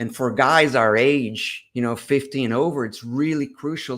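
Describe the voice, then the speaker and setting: At a moderate pace, a man with a medium pitch speaks in fairly even intonation on a very clean recording with a silent background. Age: 60s. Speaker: doctor and fitness coach. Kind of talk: interview. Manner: halting.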